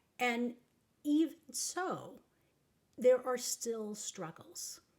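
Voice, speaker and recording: A somewhat breathy woman with an American accent and lively intonation. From Texas. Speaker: life coach. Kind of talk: advice talk.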